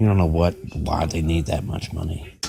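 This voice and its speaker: Soft-spoken and somewhat breathy, a man with an American accent talks at a moderate pace with fairly even intonation and a very deep, low pitch, on a very clean recording with a silent background. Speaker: podcast host. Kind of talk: casual monologue.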